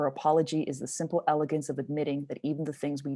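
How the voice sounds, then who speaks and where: A woman talks very fast at a very deep, low pitch with a dark, mellow tone. She has a Montreal accent. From Montreal, Canada. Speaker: poet. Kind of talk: spoken word performance.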